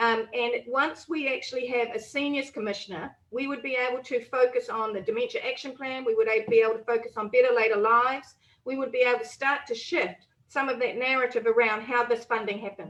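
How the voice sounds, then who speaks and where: A high-pitched woman with a New Zealand accent, fairly even intonation and hardly any pauses. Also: fairly quick pace. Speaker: politician. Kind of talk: panel discussion. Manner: fast.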